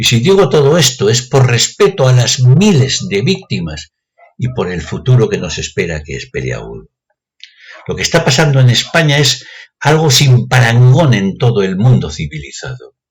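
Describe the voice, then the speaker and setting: Very wide pitch swings from a man, his voice somewhat breathy. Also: medium pitch for a man, moderate pace. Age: 60s. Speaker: retired math teacher. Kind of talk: opinion monologue.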